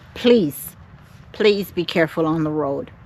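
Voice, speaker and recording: With a Caribbean accent, a woman speaks at a fairly low pitch with lively intonation. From Jamaica. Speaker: vlogger. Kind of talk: vlog to camera. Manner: halting.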